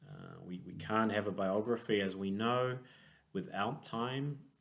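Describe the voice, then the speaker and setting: With a New Zealand accent, a fairly low-pitched man speaks fairly slowly with ordinary pitch variation, and audible room echo surrounds his voice. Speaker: clinical psychologist. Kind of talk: conference lecture. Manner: hesitant, many fillers.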